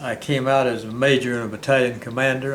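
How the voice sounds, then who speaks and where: A man's medium-pitched voice with a Southern US accent, fairly even intonation and a fairly quick pace, plus audible room echo. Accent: Southern American. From US South. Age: 90s. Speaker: war veteran and retired county clerk. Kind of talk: interview.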